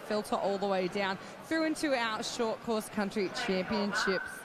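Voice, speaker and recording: Against noticeable background noise and audible room echo, a woman with an Australian accent talks at a medium pitch. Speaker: swimming commentator. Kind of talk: live commentary. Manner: animated.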